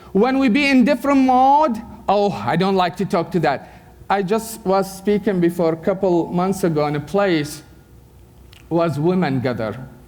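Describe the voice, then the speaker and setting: A man talks at a moderate pace in a high pitch, with lively intonation. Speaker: evangelist. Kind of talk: sermon.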